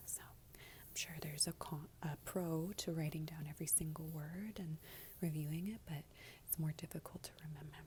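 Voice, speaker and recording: Soft-spoken delivery at a moderate pace. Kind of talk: ASMR gratitude session, soft-spoken talk to camera. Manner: soft-spoken, lo-fi.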